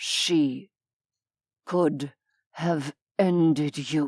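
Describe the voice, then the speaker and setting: A strained, put-on character voice at a middle pitch comes through a very clean recording with a silent background. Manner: slow, clear, restrained anger.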